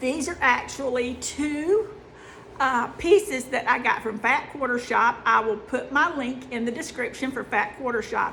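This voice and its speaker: A woman raises and projects her high voice. She speaks at a fairly slow pace with lively intonation. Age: 50s. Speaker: sewing and quilting youtuber. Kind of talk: casual chat. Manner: chatty, with fillers.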